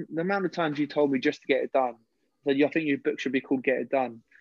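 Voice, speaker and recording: In a London accent, a man speaks at a very fast pace with a fairly high pitch. His intonation stays fairly even. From West London. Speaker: personal trainer and ex-footballer. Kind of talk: casual interview.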